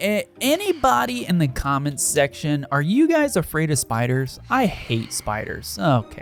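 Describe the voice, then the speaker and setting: A man talks at a moderate pace with very wide pitch swings. Music plays in the background. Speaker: gaming youtuber. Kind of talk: gameplay commentary.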